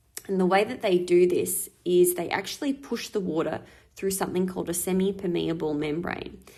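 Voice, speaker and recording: A woman speaks at a fairly quick pace with an Australian accent. Her tone is dark and mellow, with ordinary pitch variation. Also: medium pitch for a woman. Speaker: school teacher. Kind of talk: recorded lesson. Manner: fast.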